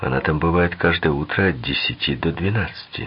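Using a put-on character voice with a slightly husky edge, a man talks at a fairly quick pace in an extremely low pitch. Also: ordinary pitch variation.

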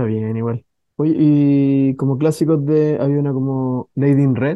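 With a clear, smooth tone, a man talks at a moderate pace and medium pitch, keeping his intonation fairly even.

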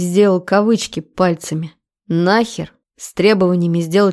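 With fairly even intonation, a natural reading voice comes through over a quiet background.

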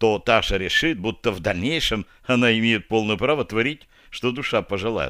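Here is plain reading aloud. The text is simply read out.

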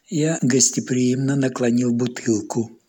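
With fairly even intonation, the passage is read in an unforced reading voice.

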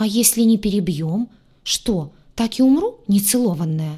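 A put-on character voice, female-sounding, at a medium pitch and moderate pace. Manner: indignant.

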